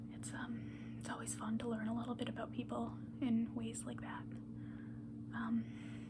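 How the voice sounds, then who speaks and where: Soft-spoken whispering moves at a fairly slow pace with hardly any pauses, against noticeable background noise. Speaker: pastry chef. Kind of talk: ASMR rambling. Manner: soft-spoken, whispered; casual, rambling.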